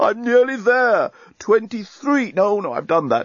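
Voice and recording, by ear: Putting on a character voice, a man speaks high for his sex, with big pitch swings and a fairly slow pace.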